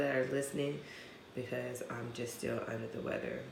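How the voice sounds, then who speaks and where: With an American accent and ordinary pitch variation, a woman speaks amid noticeable background noise and audible room echo. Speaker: podcast co-host. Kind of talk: casual chat.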